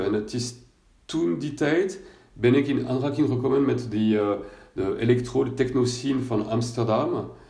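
Audible room echo surrounds a man's voice. His tone is dark and mellow, and somewhat breathy. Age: 50s. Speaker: coach for people with bipolar disorder. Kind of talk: personal testimony monologue. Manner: halting, many hesitations and repetitions.

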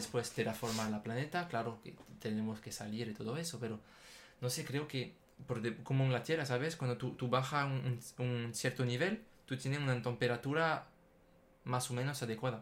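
A man with a French accent speaks at a fairly quick pace, his medium-pitched voice somewhat breathy and showing ordinary pitch variation. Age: 20s. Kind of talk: casual chat. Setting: studio, sitting side by side. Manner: halting, repeats words.

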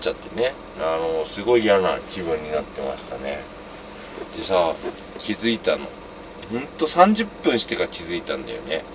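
Moderate pacing from a man with long, frequent pauses, big swings in loudness and noticeable background noise. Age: 40s. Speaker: podcast host. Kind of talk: casual monologue. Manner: rambling with frequent fillers and laughs.

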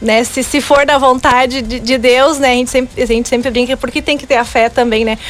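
A woman talks at a high pitch with hardly any pauses, in a monotone, flat intonation. Music plays in the background. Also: fairly quick pace. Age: 20s. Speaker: beautician and pageant candidate. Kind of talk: radio interview. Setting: radio studio.

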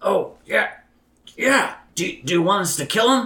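A man performs a raspy, put-on character voice at an extremely high pitch. He raises and projects his voice. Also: fairly slow pace. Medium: actual play. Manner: nervous, eager to please.

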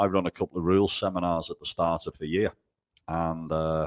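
Monotone, flat intonation in a Liverpool accent. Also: man, dry, close sound with no echo, very clean recording, silent background. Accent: Scouse. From Liverpool, England. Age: 30s. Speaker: golf professional. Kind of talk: casual interview.

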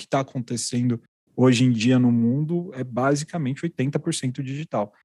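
Recorded very cleanly against a silent background, a man with a medium pitch and a dark, mellow tone speaks at a moderate pace. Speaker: podcast host. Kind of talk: interview podcast, casual but professional.

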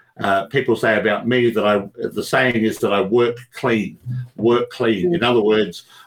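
Using fairly even intonation, a man with an Australian accent talks at medium pitch and a fairly slow pace. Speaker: speaking coach and magician. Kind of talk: interview.

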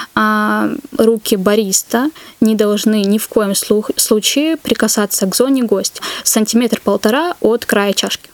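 Against noticeable background noise, a woman talks at a fairly slow pace with a fairly high pitch and ordinary pitch variation, the sound dry and close with no echo. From North Caucasus, Russia. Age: 20s. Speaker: barista. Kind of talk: casual interview.

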